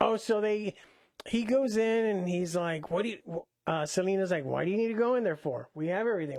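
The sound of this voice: Against quiet surroundings, an unforced reading voice moves with ordinary pitch variation.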